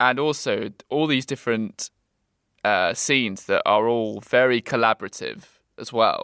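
A fairly slow man's voice with a British accent, dry and close with no echo. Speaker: podcast host. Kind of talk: casual chat.

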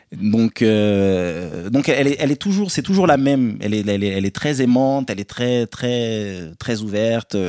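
Heard dry and close with no echo, a man with a dark, mellow tone and medium pitch talks fairly slowly with lively intonation and hardly any pauses. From France, Paris area, partly raised in Côte d'Ivoire. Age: 30s. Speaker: podcast guest, elder brother. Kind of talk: casual chat.

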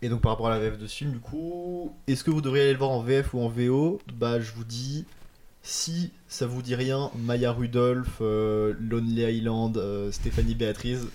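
A man's dark, mellow voice at a fairly slow pace. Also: medium pitch for a man, ordinary pitch variation. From Paris suburbs (Hauts-de-Seine). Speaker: film student. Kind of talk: casual chat.

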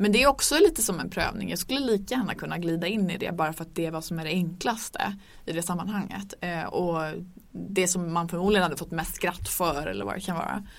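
Talking at a very fast pace, a woman with a fairly low pitch shows vocal fry and ordinary pitch variation. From northern Sweden (Örnsköldsvik). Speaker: podcast host. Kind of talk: casual chat. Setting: studio.

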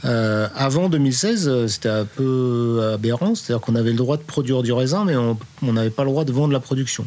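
This man's medium pitch shows ordinary variation as he speaks at a moderate pace. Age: 50s. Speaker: winemaker. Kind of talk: interview. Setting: on location. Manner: halting.

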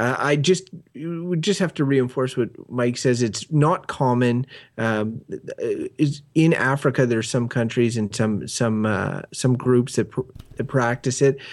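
A man's unremarkable speaking voice, medium in pitch, at a fairly slow pace, on a very clean recording with a silent background. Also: ordinary pitch variation. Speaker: podcast co-host. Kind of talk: casual chat.

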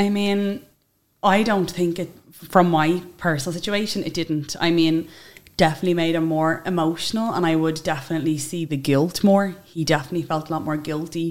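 On a very clean recording with a silent background, a woman in a Dublin accent talks at a fairly quick pace with fairly low pitch and fairly even intonation. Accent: Dublin Irish. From Ireland, Dublin (Tallaght). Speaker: social media influencer. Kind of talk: interview conversation.

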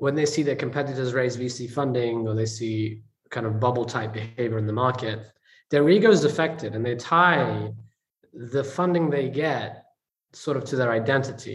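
Somewhat breathy, a man speaks at a moderate pace. His pitch varies in an ordinary way. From England. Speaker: investor and entrepreneur. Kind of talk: interview conversation.

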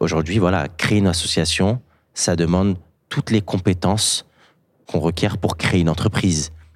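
The recording is very clean, with a silent background. A man with a very deep, low voice speaks at a moderate pace with fairly even intonation. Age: 20s. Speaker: social entrepreneur, business analyst. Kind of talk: testimony. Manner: halting.

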